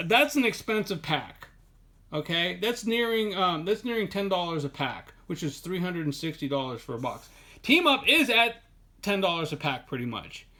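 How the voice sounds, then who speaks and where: With very wide pitch swings and a bright, sharp tone, a man speaks at a high pitch in a very clean recording with a silent background. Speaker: Pokemon card collector and video creator. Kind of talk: casual product showcase video. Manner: fast; rambling with filler words and self-corrections.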